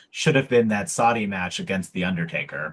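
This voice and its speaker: A man speaks at a moderate pace at a medium pitch in an unremarkable speaking voice, with lively intonation. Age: 40s. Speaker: wrestling podcast co-host. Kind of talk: casual chat.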